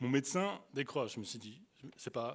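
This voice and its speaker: A man with an Alsatian accent, animated in tone and lively in intonation, at a moderate pace, on a very clean recording with a silent background. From France, Alsace (Colmar area). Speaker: youth speaker. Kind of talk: sermon. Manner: halting.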